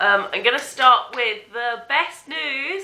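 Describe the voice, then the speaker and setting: Audible room echo surrounds a woman with an English accent, whose raised, projected voice carries lively intonation. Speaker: vlogger. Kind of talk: casual vlog.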